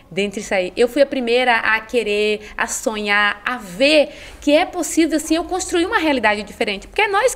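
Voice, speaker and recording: Over noticeable background noise, a woman speaks in a high pitch at a moderate pace with hardly any pauses and very wide pitch swings. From Bahia, Brazil (Ilhéus). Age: 40s. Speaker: psychologist and women's mentor. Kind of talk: podcast interview.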